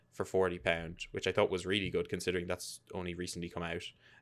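With an Irish accent, a man speaks at a fairly quick pace in a very deep, low pitch with fairly even intonation, on a very clean recording with a silent background. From Ireland. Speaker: gaming podcast host. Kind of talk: casual chat.

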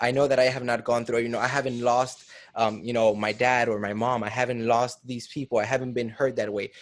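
Talking at a fairly quick pace, a man has a normal speaking voice. His pitch is medium and his intonation fairly even. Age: 20s. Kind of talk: interview; scripted outro.

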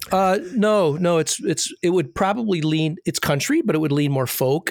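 The delivery moves at a moderate pace in a normal speaking voice, with ordinary pitch variation. The sound is dry and close, with no echo. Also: man. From US Midwest, northern Michigan. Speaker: podcast co-host. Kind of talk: casual interview chat.

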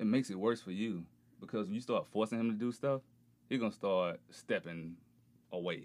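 A fairly quick delivery in a southern Alabama accent, broken by long, frequent pauses, on a very clean recording with a silent background. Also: man, fairly low pitch for a man, ordinary pitch variation. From rural Alabama, US South. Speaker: podcast guest. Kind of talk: casual chat.

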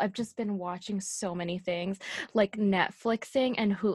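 Dry and close with no echo, a woman's plain, everyday voice sits at a medium pitch with ordinary pitch variation over a quiet background. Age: 20s. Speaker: podcast co-host. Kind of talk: casual chat.

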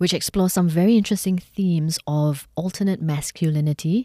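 In a very clean recording with a silent background, a woman with a Singaporean accent speaks in a fairly low, dark, mellow voice, the sound dry and close with no echo. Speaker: podcast host. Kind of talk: interview. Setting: studio.

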